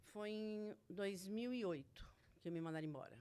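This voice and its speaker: Lively intonation carries a woman's fairly high voice at a very slow pace. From Brazil, Santo André (São Paulo area). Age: 60s. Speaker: retail worker, former shop owner. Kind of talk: casual interview, life story.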